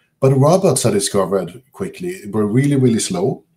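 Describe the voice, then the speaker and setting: Using very wide pitch swings and a dark, mellow tone, a man with a Swedish accent talks at a moderate pace. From southern Sweden. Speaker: computer science professor. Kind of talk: lecture. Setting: video call. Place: home room. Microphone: webcam.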